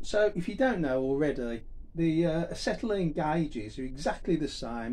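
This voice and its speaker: A man talks at a fairly slow pace. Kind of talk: tutorial. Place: garage. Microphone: camera far.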